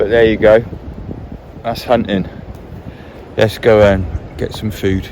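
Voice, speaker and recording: Fairly slow and broken by long, frequent pauses, a man's fairly low voice comes through over noticeable background noise. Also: fairly even intonation. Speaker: hunter and outdoor vlogger. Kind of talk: vlog narration. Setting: outdoors in woods.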